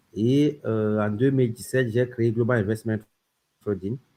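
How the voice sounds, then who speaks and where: Talking at a very fast pace, a man uses a medium pitch and a dark, mellow tone. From Cameroon. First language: French. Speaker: crypto company founder. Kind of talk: interview.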